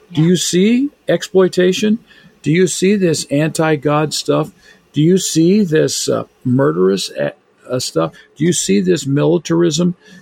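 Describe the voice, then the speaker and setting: A man with an unremarkable speaking voice talks at a fairly slow pace and fairly high pitch, with lively intonation and very even loudness. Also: dry, close sound with no echo. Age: 60s. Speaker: biblical scholar and author. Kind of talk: casual chat.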